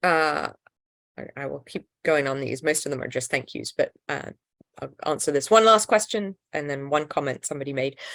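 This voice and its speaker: A woman's very deep, low voice with an English accent, lively intonation and a moderate pace. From England. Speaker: nonprofit founder and health-rights advocate. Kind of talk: live Q&A answering viewer questions. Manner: casual, many fillers and restarts.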